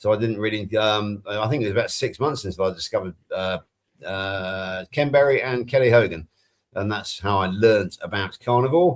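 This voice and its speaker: In a West Country accent, a man speaks at a moderate pace with a fairly low pitch and ordinary pitch variation, on a very clean recording with a silent background. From England. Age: 60s. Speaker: health coach, panel co-host. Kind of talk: casual chat.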